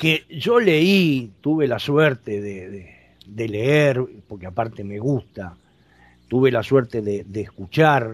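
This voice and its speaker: Against a quiet background, a man speaks very slowly with lively intonation and big swings in loudness. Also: medium pitch for a man. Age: 60s. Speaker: radio host. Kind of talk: radio talk show interview.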